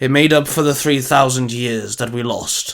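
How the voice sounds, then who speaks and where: Putting on a character voice with a solemn tone, a man speaks at a moderate pace in a medium pitch. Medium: read story. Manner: formal, measured, solemn.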